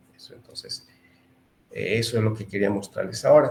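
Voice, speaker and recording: A man speaks in a somewhat breathy voice. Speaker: engineer giving webinar lecture. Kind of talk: online lecture. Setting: webinar.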